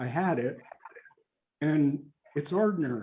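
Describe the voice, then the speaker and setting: A man with a somewhat breathy, dark, mellow tone and fairly high pitch talks at a fairly slow pace with ordinary pitch variation. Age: 70s. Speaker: author and spiritual teacher. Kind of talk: group discussion.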